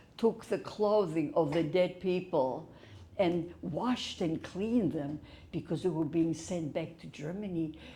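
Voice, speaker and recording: This woman has a fairly low, somewhat breathy voice with a dark, mellow tone. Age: 80s+. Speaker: Holocaust survivor. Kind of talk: testimony talk to audience.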